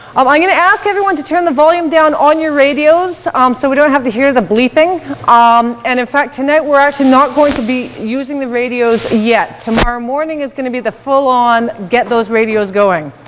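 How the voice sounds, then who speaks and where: Noticeable background noise sits behind a woman with a high pitch and lively intonation. She talks at a fairly quick pace with hardly any pauses. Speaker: workshop instructor. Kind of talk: workshop presentation. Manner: loud.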